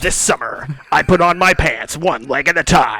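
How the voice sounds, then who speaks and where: In a high pitch, a man puts on a character voice and talks at a moderate pace. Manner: dramatic, grandiose, mock-epic.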